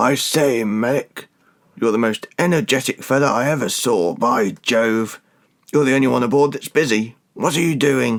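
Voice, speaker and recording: A man uses a raspy, put-on character voice at medium pitch. He keeps a moderate pace with ordinary pitch variation. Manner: sleepy, teasing.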